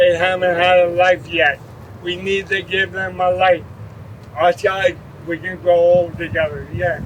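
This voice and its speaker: A man with a high-pitched voice talks at a fairly slow pace with fairly even intonation. Noticeable background noise is present. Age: 60s. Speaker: ALS patient advocate. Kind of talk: public speech. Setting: outdoor rally.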